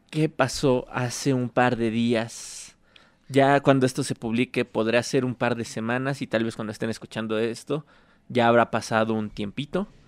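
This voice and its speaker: A man speaks in a normal speaking voice at a moderate pace, with a medium pitch and fairly even intonation. The recording is very clean with a silent background, and the sound is dry and close with no echo. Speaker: political podcast host. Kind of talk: casual chat.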